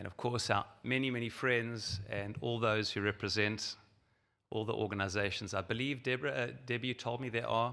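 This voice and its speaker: Here is a man with a South African accent and a fairly low pitch. His tone is bright and sharp, and his pace fairly quick. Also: very clean recording, silent background. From South Africa, Johannesburg. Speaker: rabbi and organization president. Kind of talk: keynote speech.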